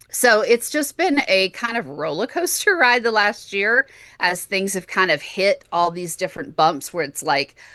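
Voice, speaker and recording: A woman with a Texan accent, medium pitch, very wide pitch swings and a bright, sharp tone, at a moderate pace over a quiet background. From Texas. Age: 40s. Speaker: podcast host, chronic illness patient. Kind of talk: interview conversation.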